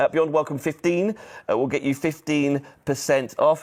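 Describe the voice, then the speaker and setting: A man with a fairly high pitch speaks over a silent background in a very clean recording. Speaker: shopping channel presenter. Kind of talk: sales pitch. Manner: fast.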